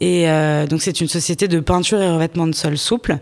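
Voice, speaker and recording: Here a woman is talking. Her intonation stays fairly even. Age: 30s. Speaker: business owner in construction. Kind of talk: interview. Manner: halting.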